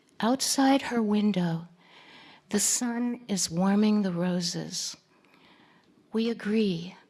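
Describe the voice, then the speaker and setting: Speaking at a very slow pace with long, frequent pauses, a woman uses a medium, somewhat breathy voice with ordinary pitch variation. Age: old. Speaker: poet. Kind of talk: poetry reading.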